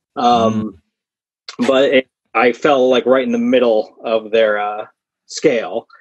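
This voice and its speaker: A man is speaking. The background is quiet. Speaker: podcast guest. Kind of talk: interview answer. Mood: relaxed, good-humored. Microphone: earbuds.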